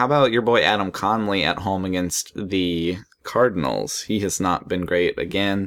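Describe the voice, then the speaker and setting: Using an ordinary speaking voice, a man talks at a moderate pace in a fairly low pitch with ordinary pitch variation. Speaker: fantasy baseball podcast host. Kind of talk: casual chat.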